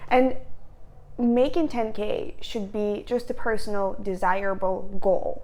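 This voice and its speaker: In a non-native accent, a woman with a high pitch and a dark, mellow tone speaks at a very slow pace with ordinary pitch variation, and the room echo is audible. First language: not English. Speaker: lifestyle vlogger. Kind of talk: casual talk to camera. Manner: casual, filler-heavy with repetitions.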